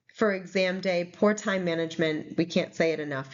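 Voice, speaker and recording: Her pitch is fairly low, with ordinary pitch variation. This woman speaks with a New England accent. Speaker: nursing exam tutor. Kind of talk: recorded slide presentation. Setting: recorded presentation video. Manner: casual with fillers.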